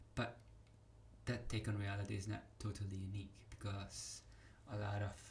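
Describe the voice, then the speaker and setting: A man speaks at a moderate pace with a fairly low pitch and a non-native accent. Audible room echo surrounds his voice. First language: not English. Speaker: vlogger. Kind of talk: casual monologue. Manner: halting.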